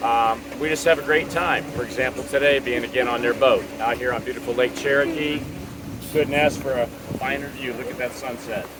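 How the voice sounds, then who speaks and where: Over noticeable background noise, a man with an American accent talks at a fairly quick pace in a medium pitch with fairly even intonation. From Florida. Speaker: tiny home community resident. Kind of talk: casual interview. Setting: outdoors on a boat on a lake.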